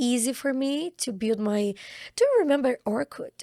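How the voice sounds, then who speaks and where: A woman speaks with a Brazilian Portuguese accent and a dark, mellow tone. The sound is dry and close, with no echo. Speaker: actress. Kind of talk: casual interview chat.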